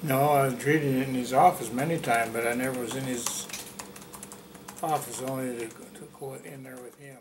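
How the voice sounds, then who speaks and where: A man with an American accent at a moderate pace, fairly even intonation, big swings in loudness, long and frequent pauses, and noticeable background noise. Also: medium pitch for a man. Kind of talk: oral history interview answer.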